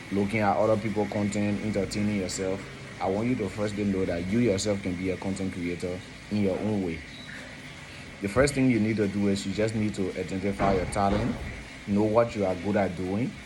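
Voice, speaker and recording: Amid noticeable background noise and audible room echo, a man speaks at a fairly quick pace with a fairly low pitch and fairly even intonation. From Liberia. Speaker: consultant and video presenter. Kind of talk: informal educational talk.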